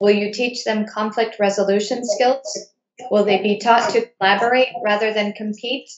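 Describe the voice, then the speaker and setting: The delivery is monotone with flat intonation at a moderate pace. Room echo is audible. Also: woman, quiet background. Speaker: enrollment director moderating webinar; moderator of school Q&A. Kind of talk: webinar moderation. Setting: video call webinar. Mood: calm, polite. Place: home room. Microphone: webcam.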